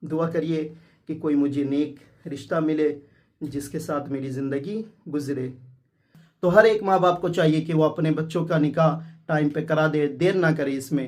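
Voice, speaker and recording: In an unremarkable speaking voice, a man with a fairly high pitch talks with fairly even intonation. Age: 20s. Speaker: vlogger. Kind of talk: vlog talk to camera. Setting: at home after wedding.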